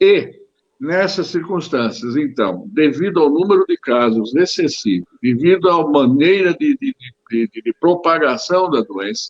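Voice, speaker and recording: A man's high-pitched voice at a fairly slow pace, with very wide pitch swings. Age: 70s. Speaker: physician. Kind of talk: interview. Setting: video call. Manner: halting.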